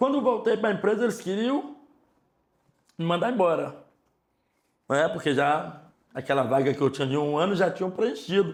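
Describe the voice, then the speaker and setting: A man with a high pitch speaks at a moderate pace with long, frequent pauses. His tone is animated, with very wide pitch swings. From Ceará, Brazilian Northeast. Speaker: store manager. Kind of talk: interview, life story. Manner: casual, animated.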